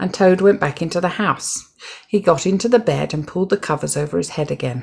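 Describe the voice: A woman with a fairly low pitch speaks at a fairly quick pace, showing vocal fry, a slightly husky edge and ordinary pitch variation.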